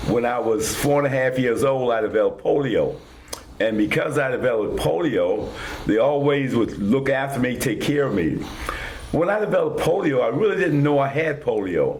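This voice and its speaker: Over noticeable background noise and audible room echo, a man with a Virginia Tidewater accent talks at a moderate pace with very even loudness. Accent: US Southern, Virginia Tidewater. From Virginia, Northern Neck (Whitestone). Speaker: war veteran. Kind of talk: interview.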